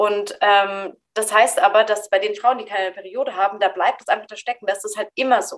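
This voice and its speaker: A woman speaks at a moderate pace. Her pitch sits fairly high, with ordinary variation. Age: 30s. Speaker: psychologist and medical student. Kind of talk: casual chat. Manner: halting.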